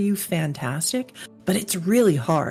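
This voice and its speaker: Music plays in the background. The speaker uses lively intonation at a fairly quick pace. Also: woman. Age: 50s. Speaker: podcast host, fantasy cartographer and illustrator. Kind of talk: casual chat.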